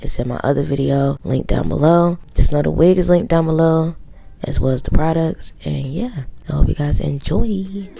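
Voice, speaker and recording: A woman's very deep, low voice at a moderate pace with ordinary pitch variation, over noticeable background noise. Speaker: beauty vlogger. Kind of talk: casual tutorial vlog.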